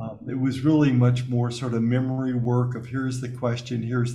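A man speaks in an American accent with a dark, mellow, somewhat breathy tone. Room echo is audible. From US South, Alabama. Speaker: spiritual teacher and author. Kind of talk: interview.

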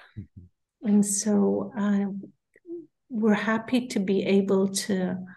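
Speaking at a very slow pace, a woman uses a medium-pitched, somewhat breathy voice with a dark, mellow tone and fairly even intonation. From Israel, kibbutz. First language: Hebrew. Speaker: therapist and peace activist. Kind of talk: interview.

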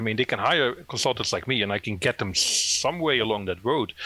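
Lively intonation and a bright, sharp tone mark a man speaking with a Dutch accent. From Netherlands. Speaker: SEO consultant. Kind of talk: interview.

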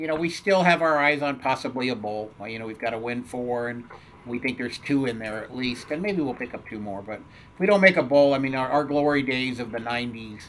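A normal speaking voice with an American accent, a fairly quick pace, ordinary pitch variation and big swings in loudness. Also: man, medium pitch for a man. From US Southwest and California. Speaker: turfgrass science professor. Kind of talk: interview. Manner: casual with frequent fillers.

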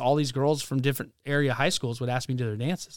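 Speaking at a very fast pace, a man has a fairly high pitch. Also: very clean recording, silent background. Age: 30s. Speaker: pastor. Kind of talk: testimony. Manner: animated.

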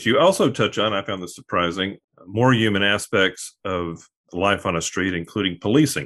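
A man with an American accent talks in an ordinary speaking voice at a moderate pace. His pitch variation is ordinary, over a quiet background. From Arklatex region, US South. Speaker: podcast host. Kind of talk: interview conversation.

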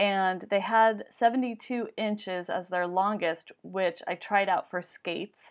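With a normal speaking voice at a medium pitch, a woman talks at a fairly slow pace with ordinary pitch variation, on a very clean recording with a silent background. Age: 40s. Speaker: small business owner. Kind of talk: interview.

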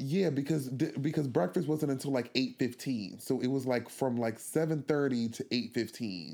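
This man has an unremarkable speaking voice, medium in pitch with ordinary pitch variation, very even loudness, a moderate pace and hardly any pauses. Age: 20s. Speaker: podcast guest. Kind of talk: interview.

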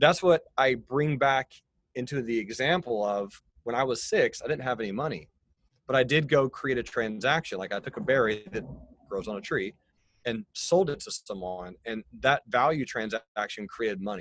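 This man uses a normal speaking voice at medium pitch and a moderate pace. His intonation is lively. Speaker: financial educator. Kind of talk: interview conversation explaining finance. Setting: video call.

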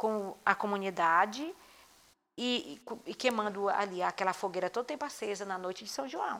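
With a bright, sharp tone, a woman speaks in a very clean recording with a silent background. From Maranhão, Brazil (Munim region, interior). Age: 60s. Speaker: cultural group leader and community leader. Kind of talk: interview testimony.

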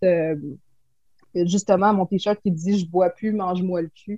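A woman talks with a Quebec accent. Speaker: clothing shop owner. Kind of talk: casual interview.

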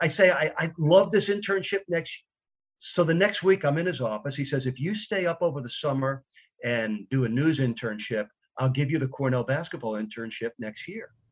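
An energetic man with an American accent speaks at a fairly quick pace in a fairly high pitch, somewhat breathy, with lively intonation. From New York. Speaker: radio play-by-play announcer. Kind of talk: interview.

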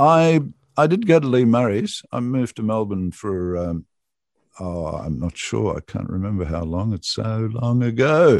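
This man has an Australian accent and a fairly low pitch, with very wide pitch swings. He talks at a moderate pace against a quiet background. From Australia, Cooma, New South Wales. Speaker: radio presenter. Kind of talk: interview. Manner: halting, many fillers.

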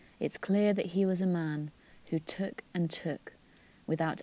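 A woman with a British accent talks fairly slowly in a fairly low, dark, mellow voice with fairly even intonation. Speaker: podcast co-host. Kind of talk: scripted narration.

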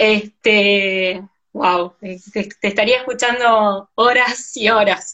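At a very slow pace, a woman with an Argentine accent speaks at a fairly high pitch and fairly even intonation. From Argentina, provinces outside Buenos Aires. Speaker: doctor and live-stream host. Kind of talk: casual interview chat. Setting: Instagram live video.

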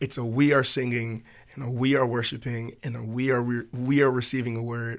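Monotone, flat male delivery in an American accent, medium in pitch and at a fairly quick pace. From US South, Hampton, Virginia (Tidewater). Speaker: church worship leader. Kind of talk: casual podcast conversation.

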